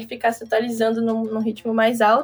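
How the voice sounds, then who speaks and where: The woman talks at a moderate pace. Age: 20s. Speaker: tech startup founder. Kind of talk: casual chat.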